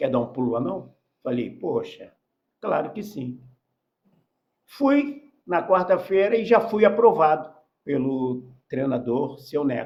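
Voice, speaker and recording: A man speaks at a fairly slow pace in a high-pitched voice. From Rio de Janeiro, Brazil. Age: 70s. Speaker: former professional footballer. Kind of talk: podcast interview.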